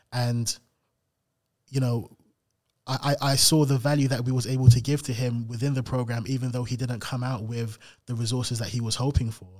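Speaking in a London accent, the voice is somewhat breathy and monotone, with flat intonation, at a fairly quick pace. Long, frequent pauses break it up, and the recording is very clean, with a silent background. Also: man, medium pitch for a man. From South London (Camberwell). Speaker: investment manager. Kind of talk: interview. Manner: repetitive, halting.

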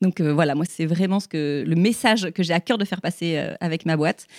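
A woman with an unremarkable speaking voice, fairly low in pitch, at a fairly quick pace with ordinary pitch variation, in a very clean recording with a silent background and a dry, close sound with no echo. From southern France, Toulon. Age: 40s. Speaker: podcast host. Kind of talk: live interview. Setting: stage with audience.

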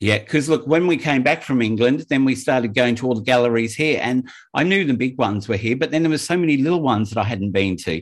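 Speaking very fast, a man uses lively intonation. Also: medium pitch for a man, hardly any pauses. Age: 50s. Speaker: podcast host. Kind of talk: casual chat. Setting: remote call.

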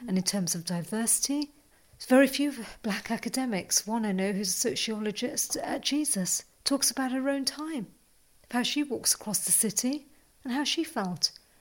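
Somewhat breathy and fairly high-pitched, a woman talks at a moderate pace with lively intonation. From West Midlands, England. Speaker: geography lecturer and college tutor. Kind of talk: interview.

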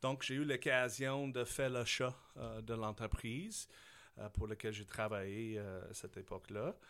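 In an English accent, a man speaks at a fairly slow pace. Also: medium pitch for a man, ordinary pitch variation. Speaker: business owner. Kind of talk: interview.

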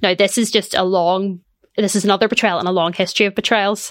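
Speaking fairly quickly, a woman with a Belfast accent has a medium pitch. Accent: Belfast Northern Irish. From Northern Ireland, East Belfast. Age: 30s. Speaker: political commentator and lawyer. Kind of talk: interview. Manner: halting, many fillers.

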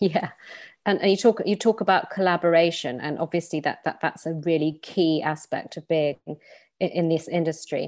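A woman with a British accent speaks at a fairly low pitch with ordinary pitch variation. The recording is very clean, with a silent background. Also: moderate pace. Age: 40s. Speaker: podcast host, journalist and lecturer. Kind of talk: interview. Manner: halting with repeated words.

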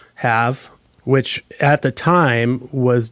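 Recorded dry and close with no echo, a man speaks at a medium pitch. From Hawaii (Maui). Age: 40s. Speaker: recording engineer. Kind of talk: casual interview. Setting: recording studio.

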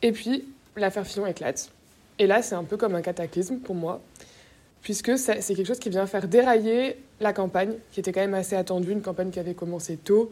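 A woman at medium pitch, a plain, everyday voice, ordinary pitch variation and a fairly quick pace. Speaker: young voter giving testimony. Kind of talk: testimony.

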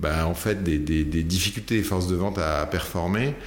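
A man talks at a moderate pace with ordinary pitch variation, and the room echo is audible. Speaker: company founder and CEO, sales expert. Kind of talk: casual interview. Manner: hesitant, many fillers and repetitions.

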